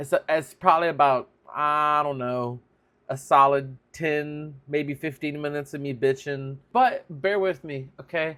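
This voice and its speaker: A man with a Louisiana accent, fairly high pitch, a bright, sharp tone and a fairly slow pace, in a very clean recording with a silent background. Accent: Southern US (Louisiana). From South Louisiana, USA. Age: 30s. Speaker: vlogger, aspiring filmmaker. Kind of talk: casual vlog talk to camera. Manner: candid, humorous, self-deprecating.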